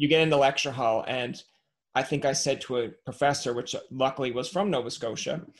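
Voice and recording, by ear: At a fairly quick pace, a man talks at a medium pitch with ordinary pitch variation.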